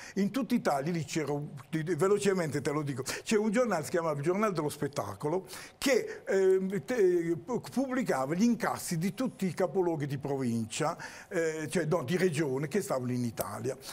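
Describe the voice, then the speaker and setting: A man's high-pitched voice with lively intonation, at a moderate pace. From Apulia, Italy. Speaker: actor and theatre director; actor. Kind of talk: TV interview. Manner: animated. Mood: animated, storytelling. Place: studio. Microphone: lapel.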